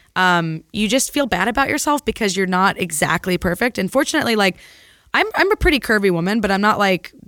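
At a fairly quick pace, a woman with a medium pitch and lively intonation talks in a normal speaking voice. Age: 30s. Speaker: physician. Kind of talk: casual chat.

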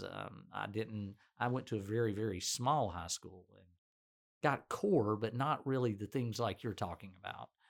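A man speaks with a Southern US accent at a moderate pace. His ordinary pitch variation comes through on a very clean recording with a silent background. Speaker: physician and podcast host. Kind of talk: casual interview.

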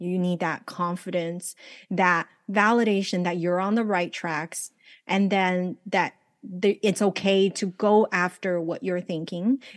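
Speaking at a fairly slow pace with a Chinese accent, a woman of medium pitch keeps her intonation fairly even, in a dry, close recording with no echo. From China-born, raised in Los Angeles. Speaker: life coach and author. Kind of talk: casual interview chat. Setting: video call, remote from Los Angeles.

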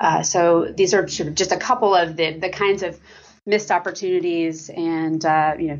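A woman talks at a moderate pace with vocal fry. Her pitch is fairly low and her intonation fairly even. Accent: American. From US, Oklahoma (Lawton). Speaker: foreign policy scholar, former diplomat. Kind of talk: interview. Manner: frequent fillers and hesitations.

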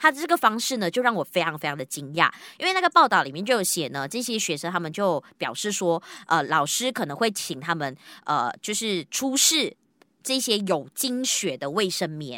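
With very wide pitch swings around a medium pitch, a woman speaks at a moderate pace in a bright, sharp tone, in a very clean recording with a silent background. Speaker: podcast host. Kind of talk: casual chat.

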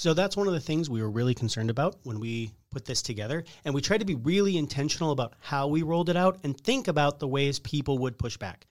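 With lively intonation and a fairly high pitch, a man talks at a very fast pace. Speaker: restaurateur. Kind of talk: interview.

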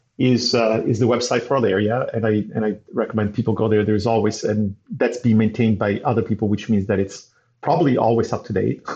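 A somewhat breathy man speaks at medium pitch and a fairly quick pace. His intonation is fairly even and his loudness very even. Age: 50s. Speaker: data scientist and entrepreneur. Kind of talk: interview.

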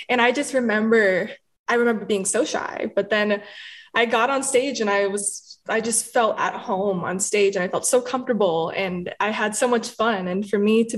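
With an American accent, a woman talks at a moderate pace in a fairly high pitch, using ordinary pitch variation. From Dallas, Texas. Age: 20s. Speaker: singer-songwriter. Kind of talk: casual interview.

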